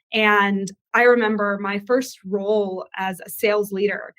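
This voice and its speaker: This woman has an American accent. She speaks with flat, monotone intonation. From US. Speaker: sales director. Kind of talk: webinar panel.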